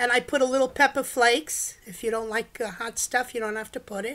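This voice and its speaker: A high-pitched woman with a New York accent at a moderate pace, on a very clean recording with a silent background. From US Northeast, New York (the Bronx). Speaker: home cook. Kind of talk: casual chat. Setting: live stream at home.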